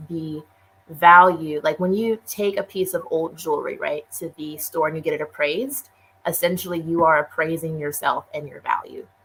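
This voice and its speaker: In a normal speaking voice, a woman with a fairly low pitch speaks at a moderate pace with fairly even intonation and big swings in loudness. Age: 30s. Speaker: minister and entrepreneur. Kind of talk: casual interview chat.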